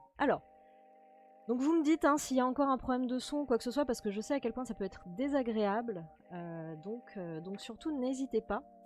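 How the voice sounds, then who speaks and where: A soft-spoken woman talks at a high pitch with lively intonation. Her pace is fairly quick. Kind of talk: friendly streamer address. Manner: quiet, almost murmured.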